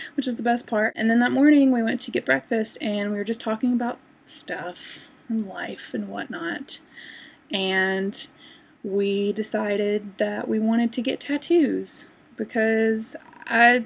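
A woman's somewhat breathy voice at a fairly slow pace, with ordinary pitch variation. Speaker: vlogger. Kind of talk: casual vlog chat. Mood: cheerful, amused storytelling. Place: home room. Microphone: webcam.

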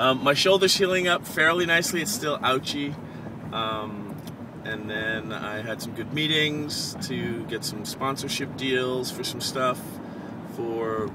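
The man talks at a fairly slow pace. The sound is dry with no echo, but the background noise is loud. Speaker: vlogger. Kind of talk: casual vlog chat. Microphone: phone near.

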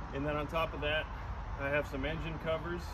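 Heavy noise sits behind the recording. Over it, a man speaks rather quickly. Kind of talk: casual vlog chat. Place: street. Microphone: camera far.

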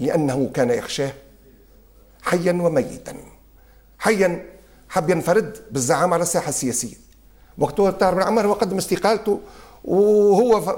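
With lively intonation and a high pitch, a man talks at a moderate pace, leaving long, frequent pauses, over a quiet background. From Tunisia. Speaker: son of a former prime minister. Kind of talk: interview. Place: home room. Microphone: lapel.

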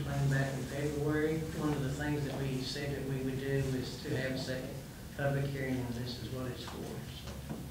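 A man's voice carries strong room echo, with background noise that is noticeable. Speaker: grant administrator presenting to council. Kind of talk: public hearing presentation. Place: hall. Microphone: podium.

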